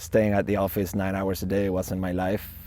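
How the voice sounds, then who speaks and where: A Spanish accent at a moderate pace. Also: man. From Argentina, Buenos Aires. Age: 20s. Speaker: van-life traveler. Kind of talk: documentary interview.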